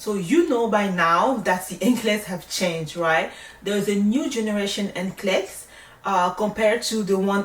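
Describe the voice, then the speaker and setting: Speaking with a French accent, a woman keeps a fairly slow pace and lively intonation. There is noticeable background noise. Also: medium pitch for a woman. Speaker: nurse. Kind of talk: tutorial. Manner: casual, conversational.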